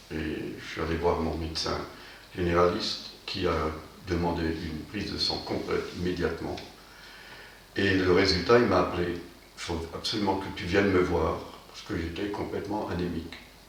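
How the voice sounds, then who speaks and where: With noticeable background noise and audible room echo, a man with a very deep, low pitch talks at a moderate pace, fairly even intonation, big swings in loudness and long, frequent pauses. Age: 70s. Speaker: former patient. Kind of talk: testimony. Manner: hesitant, many fillers.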